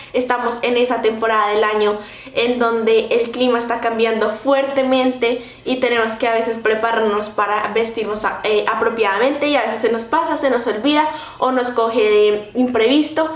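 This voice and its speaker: Speaking at a moderate pace with a fairly high pitch, a woman keeps fairly even intonation and very even loudness. Audible room echo and noticeable background noise are present. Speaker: vlogger. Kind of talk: vlog.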